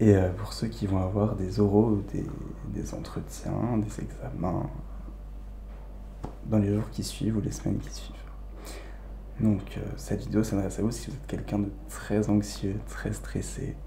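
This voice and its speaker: Soft-spoken and calm, a man with a very deep, low pitch and very wide pitch swings talks at a fairly slow pace with long, frequent pauses over noticeable background noise. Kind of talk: ASMR soft spoken advice talk. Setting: home recording, condenser microphone. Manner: soft-spoken, calm.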